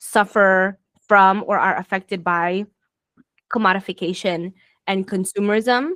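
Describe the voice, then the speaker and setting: Recorded in a dry, close sound with no echo, a woman with an American accent speaks at medium pitch and a fairly slow pace, with fairly even intonation and long, frequent pauses. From Florida, US. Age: 30s. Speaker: podcast host. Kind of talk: casual conversation. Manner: hesitant, many fillers.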